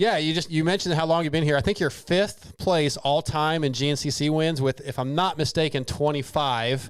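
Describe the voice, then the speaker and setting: A man with an unremarkable speaking voice at a fairly quick pace with ordinary pitch variation, on a very clean recording with a silent background. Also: fairly high pitch for a man. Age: 40s. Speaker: podcast host. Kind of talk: casual chat.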